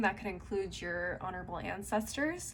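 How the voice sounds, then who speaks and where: At a moderate pace, a woman with a Californian accent talks at a medium pitch. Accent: California. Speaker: tarot reader. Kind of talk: tarot reading. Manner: casual, conversational.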